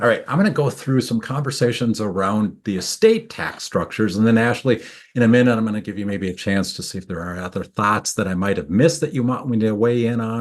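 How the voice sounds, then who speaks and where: A very fast man with a Minnesotan accent, a medium pitch and ordinary pitch variation, hardly any pauses, against a quiet background. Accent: Minnesota. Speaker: tax attorney. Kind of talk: webinar presentation. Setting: video webinar.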